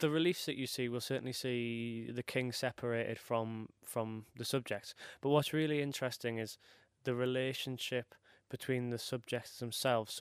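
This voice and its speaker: A man's unremarkable speaking voice at a moderate pace, in a very clean recording with a silent background. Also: medium pitch for a man. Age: 20s. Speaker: PhD student and comedian. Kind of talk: stand-up. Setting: stage with audience.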